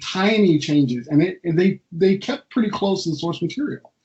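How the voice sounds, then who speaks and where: This man speaks with a West Coast US accent, his voice high in pitch, moving at a moderate pace with ordinary pitch variation. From California, US. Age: 40s. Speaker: comic book artist. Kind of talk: interview conversation. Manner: halting, many fillers.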